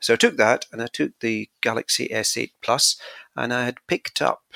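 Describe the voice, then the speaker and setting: A man's bright, sharp voice with a Scottish accent, heard in a dry, close sound with no echo. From Scotland. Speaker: podcast guest, tech enthusiast. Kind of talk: casual chat.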